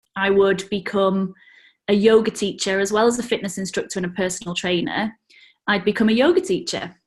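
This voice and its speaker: Against a quiet background, a woman with a British accent speaks at a medium pitch, somewhat breathy, with fairly even intonation. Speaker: yoga teacher. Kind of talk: interview.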